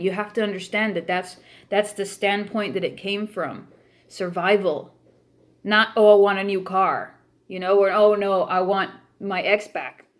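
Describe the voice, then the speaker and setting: A woman with an American accent, stern in tone and flat in intonation, at a moderate pace over a very clean recording with a silent background. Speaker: spiritual practice YouTuber. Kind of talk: vlog monologue. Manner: stern, adamant.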